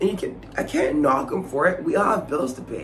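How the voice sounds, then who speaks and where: Audible room echo surrounds a man whose high-pitched voice has an animated tone. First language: not English. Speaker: theatre maker and vlogger. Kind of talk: casual vlog monologue. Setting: Edinburgh during the festival.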